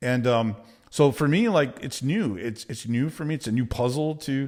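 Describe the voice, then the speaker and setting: In a very clean recording with a silent background, a man with a Texan accent speaks at a moderate pace with ordinary pitch variation. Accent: Texan American English. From Texas. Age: 50s. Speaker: business coach. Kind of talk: motivational talk to camera. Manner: direct, casual.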